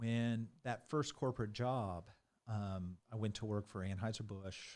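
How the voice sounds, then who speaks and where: With an American accent, a man talks at a moderate pace in a fairly low pitch with fairly even intonation. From US Midwest, rural Missouri. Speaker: IT executive and driving instructor. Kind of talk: interview. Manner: halting, many fillers and restarts.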